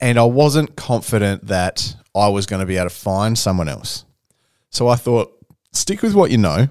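A man with an Australian accent, fairly low in pitch with ordinary pitch variation, at a moderate pace, on a very clean recording with a silent background, the sound dry and close with no echo. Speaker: podcast host. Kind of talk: casual chat.

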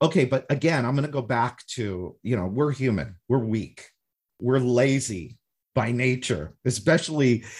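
Recorded very cleanly against a silent background, a man speaks at medium pitch and a moderate pace. His voice is somewhat breathy, with ordinary pitch variation. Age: 50s. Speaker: podcast host. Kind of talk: podcast interview.

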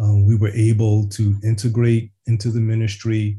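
A man with an American accent, medium pitch, a somewhat breathy, dark, mellow tone and a fairly slow pace. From US Northeast, West Philadelphia. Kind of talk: casual chat.

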